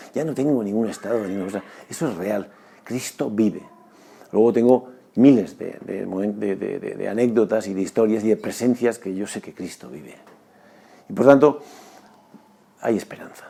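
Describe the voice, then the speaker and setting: A man with a dark, mellow tone and medium pitch speaks at a moderate pace, using ordinary pitch variation. His loudness swings widely, and he takes long, frequent pauses. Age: 60s. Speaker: former basketball player and sports doctor. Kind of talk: testimony. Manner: halting; earnest.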